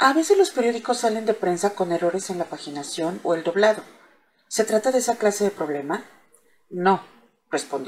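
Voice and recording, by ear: Natural-voiced reading of a text aloud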